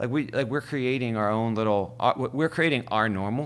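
The recording is very clean, with a silent background. A man talks at a very fast pace with ordinary pitch variation. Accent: American. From Ohio, US (Youngstown). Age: 40s. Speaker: DJ. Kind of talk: casual interview chat.

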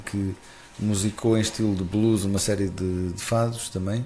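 Speaking fairly slowly in a flat monotone, a man has a fairly low pitch and a dark, mellow, somewhat breathy tone. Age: 40s. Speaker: festival founder. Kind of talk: casual interview. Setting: live broadcast.

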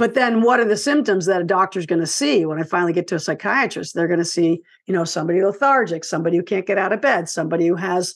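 A woman speaks at a very fast pace and a medium pitch, with ordinary pitch variation. The background is quiet. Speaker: author and filmmaker. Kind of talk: casual interview.

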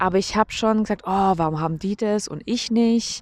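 Recorded very cleanly against a silent background with a dry, close sound and no echo, a woman with an unremarkable speaking voice and a medium pitch talks at a moderate pace with lively intonation. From Germany. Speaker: podcaster. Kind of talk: casual monologue. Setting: outdoors on a walk. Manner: casual, with fillers.

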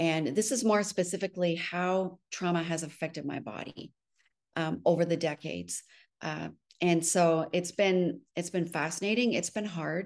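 Against a quiet background, the speaker talks at a fairly slow pace with ordinary pitch variation. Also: woman. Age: 60s. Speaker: spiritual director. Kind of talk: interview testimony. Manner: halting.

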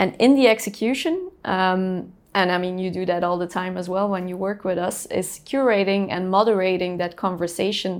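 A woman at medium pitch, a plain, everyday voice, fairly even intonation and moderate pace, on a very clean recording with a silent background. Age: 30s. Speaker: company CEO. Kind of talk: casual interview.

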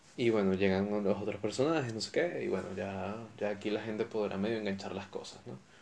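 With a Venezuelan accent, a man talks at a fairly quick pace, his fairly low pitch showing ordinary variation. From Venezuela (Caracas, raised in Valencia). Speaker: podcast host. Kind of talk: solo casual monologue. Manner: animated.

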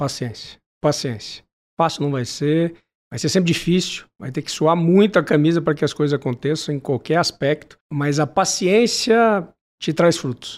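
On a very clean recording with a silent background, a man with a normal speaking voice talks at a moderate pace and fairly high pitch with ordinary pitch variation. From Brazil, Manaus and São José do Rio Preto. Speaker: lawyer and business executive. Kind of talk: interview.

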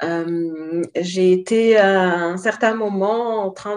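The voice belongs to a woman. It rests at a medium pitch. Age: 30s. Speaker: life coach. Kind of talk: interview.

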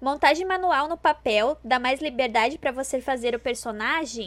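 In a very clean recording with a silent background, a woman speaks at a high pitch with a southern Brazilian accent. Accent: gaúcho Brazilian Portuguese. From Rio Grande do Sul, southern Brazil. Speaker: cosplay podcast co-host. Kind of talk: casual chat. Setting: live stream.

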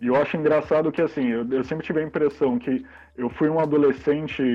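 Talking at a moderate pace, a man with a plain, everyday voice has a fairly high pitch. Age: 40s. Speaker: zine publisher and comics shop co-owner. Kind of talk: casual interview.

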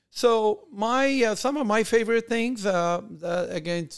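This very clean recording with a silent background features a man speaking with a Persian accent. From Iran, then Germany as a teen. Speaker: podcast host, entrepreneur. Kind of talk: casual monologue. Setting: video recording. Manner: halting, many fillers.

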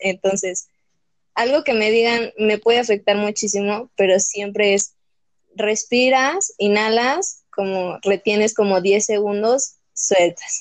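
At a very slow pace, a woman with a fairly high voice speaks with fairly even intonation. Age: young. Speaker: podcast guest. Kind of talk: personal testimony.

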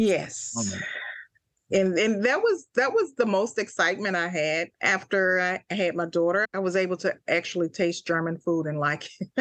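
A woman speaks in a Mississippi accent at medium pitch with ordinary pitch variation. The sound is dry and close, with no echo. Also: moderate pace. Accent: Southern US (Mississippi). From US South, Jackson, Mississippi. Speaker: army veteran and travel agent. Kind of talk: interview.

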